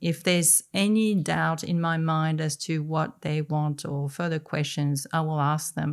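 In a very clean recording with a silent background, a woman with a French accent speaks at a fairly slow pace with a very deep, low pitch, very even loudness, and fairly even intonation. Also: hardly any pauses.

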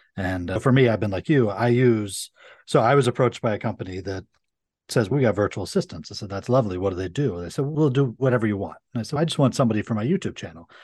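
A man with an American accent at medium pitch, very fast pace and lively intonation over a quiet background. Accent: Minnesota with Brooklyn tinge. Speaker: attorney. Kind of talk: casual interview chat.

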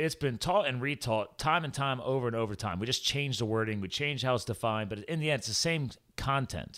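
On a very clean recording with a silent background, a man sounds energetic and enthusiastic, talking at a fairly quick pace with hardly any pauses, medium pitch and ordinary pitch variation. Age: 40s. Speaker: podcast host and health coach. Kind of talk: casual interview chat; show outro with sponsor plugs. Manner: energetic, enthusiastic.

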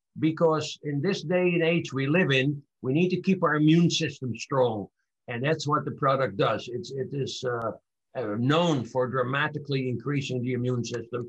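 The somewhat breathy voice keeps a moderate pace with ordinary pitch variation. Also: man, fairly high pitch for a man. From Netherlands. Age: 80s+. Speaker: e-commerce business owner, vitamin company founder. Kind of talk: interview.

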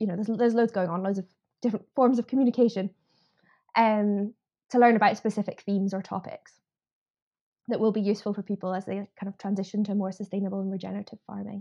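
A woman with a Scottish accent speaks at a very fast pace in a dark, mellow, monotone voice with long, frequent pauses, recorded with a dry, close sound and no echo against a quiet background. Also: medium pitch for a woman. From Scotland, Edinburgh. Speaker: farming union policy campaigner. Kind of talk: podcast interview.

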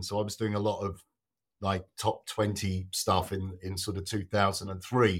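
A man at a moderate pace, with a southern English accent, on a very clean recording with a silent background. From southern England. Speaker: guitarist. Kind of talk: casual chat.

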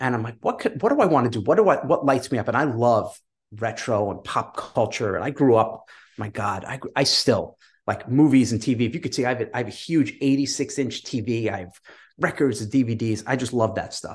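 Against a quiet background, a man with an American accent talks at a fairly quick pace, somewhat breathy, at medium pitch with ordinary pitch variation. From New York. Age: 50s. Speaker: online business entrepreneur. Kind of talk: casual interview.

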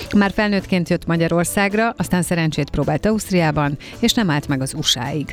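Music plays in the background as a woman speaks at a moderate pace. Her fairly low voice has lively intonation. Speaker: radio host. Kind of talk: interview. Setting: studio.

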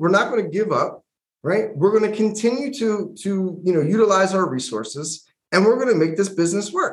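At a fairly quick pace, a man talks with a high pitch. His pitch variation is ordinary. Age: 40s. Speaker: podcast co-host. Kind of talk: casual chat.

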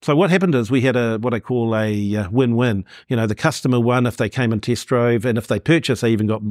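Speaking at a fairly quick pace with a New Zealand accent, a man shows ordinary pitch variation in a dry, close sound with no echo, on a very clean recording with a silent background. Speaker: marketing consultant. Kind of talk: interview. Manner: halting.

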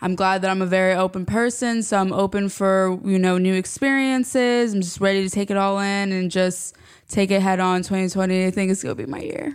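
A woman with an ordinary speaking voice talks at medium pitch and a fairly quick pace. Her pitch varies in an ordinary way, with hardly any pauses. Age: 20s. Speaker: recent marketing graduate, new employee. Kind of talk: casual interview chat.

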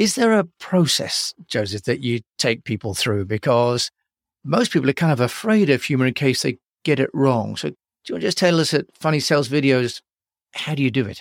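The man talks at a fairly quick pace with a medium pitch and very wide pitch swings. The recording is very clean, with a silent background. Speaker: podcast host. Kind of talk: casual interview.

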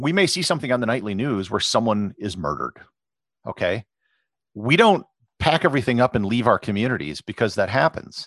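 A man with an Upper Midwest accent talks at a fairly quick pace in a medium pitch, his voice swinging very widely in pitch, with long, frequent pauses and a dry, close sound with no echo. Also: quiet background. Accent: Upper Midwest American. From US Midwest, Wisconsin. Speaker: travel blogger and photographer. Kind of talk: interview. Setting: podcast.

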